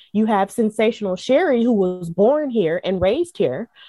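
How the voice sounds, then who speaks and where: The speaker talks at a moderate pace with a slight Southern US accent. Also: woman. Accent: mild Southern US. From US South. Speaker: wrestling podcaster and commentator. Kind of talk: interview. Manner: frequent filler words.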